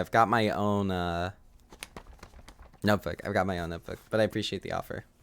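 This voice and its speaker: A soft-spoken man at a fairly low pitch and moderate pace. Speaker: video game streamer. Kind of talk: live gameplay streaming. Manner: quiet, soft-spoken; halting.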